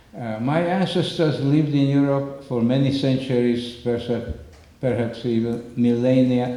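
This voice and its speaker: There is audible room echo and noticeable background noise. Through it, a man talks at a medium pitch. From Slovakia, northern mountains. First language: Slovak. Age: 90s. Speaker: Holocaust survivor speaker. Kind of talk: public talk with slides. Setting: community center with audience. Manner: halting.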